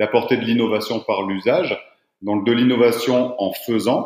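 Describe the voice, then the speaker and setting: At moderate speed and medium pitch, a man talks in an unremarkable speaking voice. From southeastern France. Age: 30s. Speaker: footwear company founder. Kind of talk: podcast interview.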